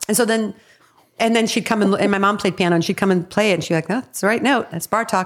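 A woman with a Chicago-area accent talks at a very fast pace. Her voice sits at a medium pitch. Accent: Chicago-area Midwestern American. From Evanston, Illinois, US Midwest. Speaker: comedy writer and actress. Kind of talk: casual chat.

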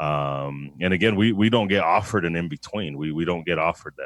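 With an American accent, a man speaks at a fairly quick pace and a very deep, low pitch, showing ordinary pitch variation. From Denver, Colorado, to Mexican parents. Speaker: gun shop owner and firearms trainer. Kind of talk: casual interview.

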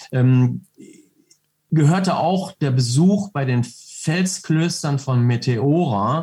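A man speaks in a dark, mellow tone that is somewhat breathy. His intonation is lively. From North Rhine-Westphalia, Germany. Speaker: reservist soldier, entrepreneur, motorcyclist. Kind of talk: interview. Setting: video call.

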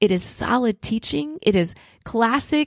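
With an unremarkable speaking voice, a woman speaks at a fairly high pitch with lively intonation, in a very clean recording with a silent background and a dry, close sound with no echo. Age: 50s. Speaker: podcast host and ministry leader. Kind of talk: solo podcast teaching monologue.

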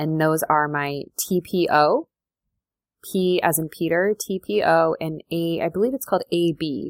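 A woman speaks at a fairly slow pace, her pitch fairly low with ordinary variation. The sound is dry and close, with no echo. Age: 30s. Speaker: podcast host and food freedom coach. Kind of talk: casual personal monologue.

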